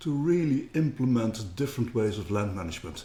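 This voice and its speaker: A man speaks at a fairly quick pace in a medium pitch. His voice is somewhat breathy, with ordinary pitch variation. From Netherlands. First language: Dutch. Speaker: company co-founder. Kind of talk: interview.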